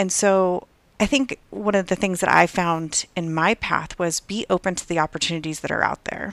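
A woman's fairly low voice with ordinary pitch variation, on a very clean recording with a silent background. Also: moderate pace, dry, close sound with no echo. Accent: American. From Southern California. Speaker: software developer apprentice, former chiropractor. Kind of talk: interview.

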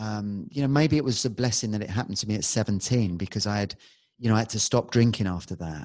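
Over a quiet background, a man with a London accent talks at a very fast pace, his fairly low pitch showing ordinary variation. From London, England. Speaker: hypnotherapist and musician. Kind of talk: casual interview chat.

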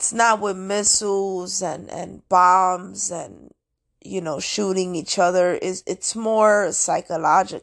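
Her voice is at a medium pitch for a woman, with fairly even intonation. She speaks at a very slow pace. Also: quiet background. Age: 30s. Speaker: astrology and spirituality podcaster. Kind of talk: solo monologue podcast. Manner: casual, rambling with many fillers.

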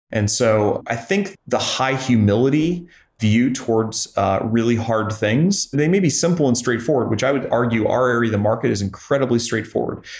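A man talks with a US Midwestern accent and hardly any pauses. His voice is somewhat breathy, with ordinary pitch variation. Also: medium pitch for a man, moderate pace, very even loudness. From Missouri, US Midwest (Joplin). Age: 30s. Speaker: private equity investor, company founder. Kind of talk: interview.

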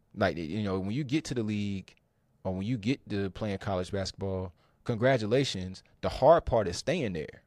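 This man has an unremarkable speaking voice at a fairly low pitch, with ordinary pitch variation and a moderate pace, recorded with a dry, close sound with no echo, very clean with a silent background. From North Carolina, Triangle area. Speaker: tech recruiter. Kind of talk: podcast interview.

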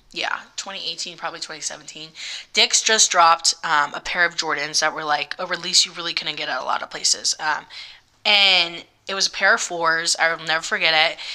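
This woman's fairly low voice has a bright, sharp tone, moving at a moderate pace with fairly even intonation. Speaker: spa manager and online content creator. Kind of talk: casual chat.

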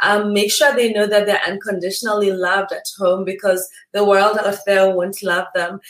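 A woman's fairly high-pitched voice comes through noticeable background noise. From Kenya. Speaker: dermatologist. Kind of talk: panel discussion.

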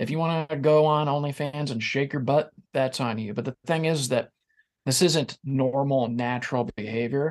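With a normal speaking voice, a man talks at a moderate pace in a fairly high pitch, his intonation fairly even. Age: 40s. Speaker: podcast host, guest on another podcast. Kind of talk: casual chat.

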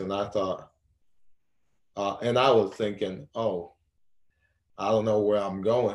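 A man talks at a fairly low pitch with fairly even intonation. The background is quiet. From Haiti. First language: Haitian Creole. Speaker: college athlete and abuse survivor. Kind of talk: interview testimony.

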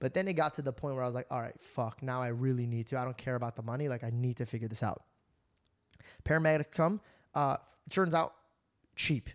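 Talking very fast with an animated tone, a man at medium pitch uses ordinary pitch variation and takes long, frequent pauses, recorded with a dry, close sound and no echo. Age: 30s. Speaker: podcast host. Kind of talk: casual chat. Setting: studio.

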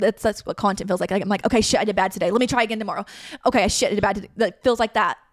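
A woman's fairly high voice with an American accent, very fast, with fairly even intonation. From US South. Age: 20s. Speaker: podcast host. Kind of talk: casual chat.

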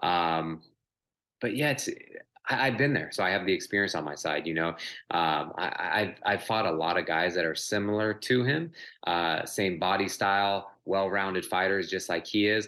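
In a very clean recording with a silent background, a man speaks at a moderate pace with a fairly low pitch, a bright, sharp tone, and ordinary pitch variation. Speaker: professional MMA fighter. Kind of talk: interview. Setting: recorded interview.

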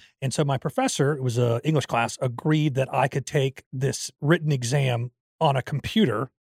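A somewhat breathy man speaks with fairly even intonation at a moderate pace, dry and close with no echo, in a very clean recording with a silent background. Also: medium pitch for a man. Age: 40s. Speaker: podcast co-host. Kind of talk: casual chat. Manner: laughs often.

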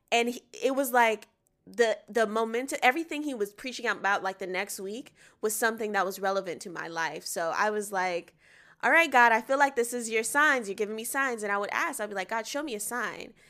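A woman with a normal speaking voice talks at a fairly high pitch in an American accent. Her pace is fairly quick, with ordinary pitch variation, on a very clean recording with a silent background. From US South, Atlanta, Georgia. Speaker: singer and actress. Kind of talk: casual interview chat.

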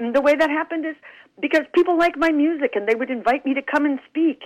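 A woman with a high pitch. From New Mexico, US Southwest. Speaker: singer-songwriter and speaker. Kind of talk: interview. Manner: animated.

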